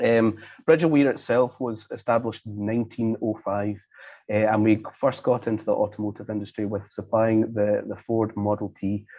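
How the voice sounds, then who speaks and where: Fairly even intonation and a dark, mellow tone with a Scottish accent. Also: man, fairly low pitch for a man. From Scotland. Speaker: leather manufacturer. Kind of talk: presentation. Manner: fast; hesitant, many fillers.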